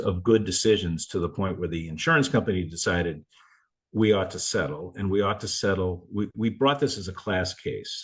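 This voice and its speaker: Fairly low in pitch, a man speaks at a fairly quick pace. The background is quiet. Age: 60s. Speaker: attorney and mental health advocate. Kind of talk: interview. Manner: halting, many false starts.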